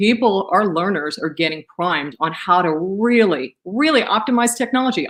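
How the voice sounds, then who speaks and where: A woman speaks with ordinary pitch variation. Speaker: panel moderator. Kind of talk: webinar presentation. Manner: fast.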